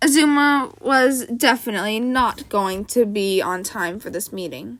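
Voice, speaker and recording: In a raspy, put-on character voice, the speaker uses lively intonation at a moderate pace. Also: woman. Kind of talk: amateur audiobook reading. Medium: read story. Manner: even, halting at times.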